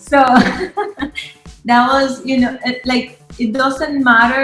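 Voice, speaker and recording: Music plays in the background as a woman speaks. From Nicaragua. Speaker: app co-founder. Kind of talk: interview.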